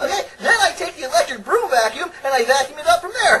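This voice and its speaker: An extremely high, cartoonish character voice rushes along at a very fast pace over clear background noise. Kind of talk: children's puppet comedy.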